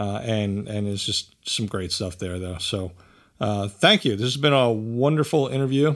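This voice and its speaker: Speaking with a New Jersey accent, a man keeps a fairly low pitch and a moderate pace. The recording is very clean, with a silent background. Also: ordinary pitch variation. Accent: New Jersey American. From New Jersey, Bridgewater. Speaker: podcast host. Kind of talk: interview.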